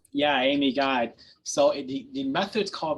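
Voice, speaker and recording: A man with an unremarkable speaking voice talks at a moderate pace, his fairly high pitch moving with ordinary variation. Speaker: programming instructor. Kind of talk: lecture with live coding.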